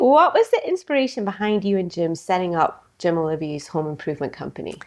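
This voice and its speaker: A woman with a Scottish accent talks at a very fast pace, her intonation lively. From Scotland. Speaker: podcast host, banker. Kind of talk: interview.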